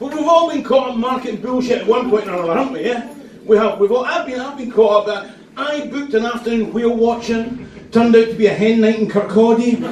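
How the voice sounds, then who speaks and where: Someone with a Scottish accent talks at a very fast pace with ordinary pitch variation. Audible room echo and noticeable background noise are present. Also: man, extremely high pitch for a man. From Scotland, Perth. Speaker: stand-up comedian. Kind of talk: stand-up. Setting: stage with audience.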